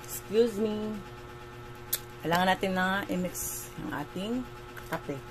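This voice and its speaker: Over music in the background and audible room echo, a woman of medium pitch talks at a fairly slow pace with long, frequent pauses and very wide pitch swings. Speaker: vlogger. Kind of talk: casual vlog chat.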